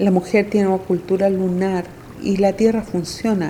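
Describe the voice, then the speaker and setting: A woman talks at a fairly slow pace with medium pitch. Her intonation is monotone and flat. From Chile, rural Temuco (Mapuche). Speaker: traditional midwife and healer. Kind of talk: interview testimony.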